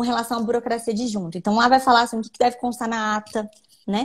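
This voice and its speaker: Her fairly high voice racing at a very fast pace, a woman speaks. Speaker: lawyer. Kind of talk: live stream interview explaining law.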